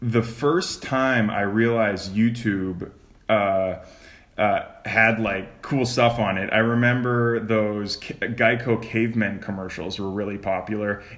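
The intonation stays fairly even at a fairly slow pace. Some room echo is audible. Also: man, medium pitch for a man. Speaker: podcast host. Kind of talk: casual chat.

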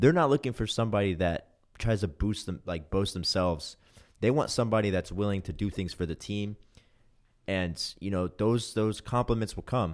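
Recorded very cleanly against a silent background, a man with an unremarkable speaking voice talks fairly quickly at a fairly low pitch with ordinary pitch variation. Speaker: college baseball player. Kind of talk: casual chat.

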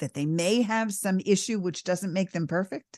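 A woman talks with a New York accent. The background is quiet. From New York, the Bronx. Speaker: radio host. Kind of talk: talk show interview.

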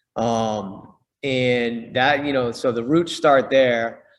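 An American accent marks this man's unremarkable speaking voice, which has fairly even intonation. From US Northeast, Boston. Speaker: fitness company co-founder and boxing coach. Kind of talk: casual interview.

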